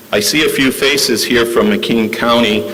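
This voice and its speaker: Noticeable background noise runs under this recording. A man talks amid audible room echo. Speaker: judge accepting award. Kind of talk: award acceptance speech.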